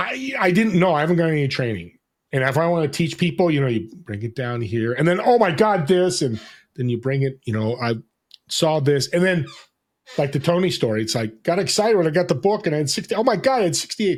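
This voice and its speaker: A loud man with an American accent, very fast, fairly high-pitched, with very wide pitch swings. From New Jersey, US. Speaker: podcast host and business connector. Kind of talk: casual interview chat. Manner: energetic, dynamic.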